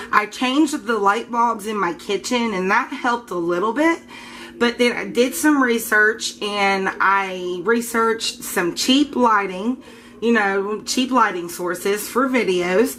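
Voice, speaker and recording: A woman talks at a fairly slow pace in a fairly high voice. Noticeable background noise runs underneath. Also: ordinary pitch variation. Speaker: soap maker, video blogger. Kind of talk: casual tutorial vlog. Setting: home kitchen, camera recording. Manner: casual, with fillers; breathing heavily.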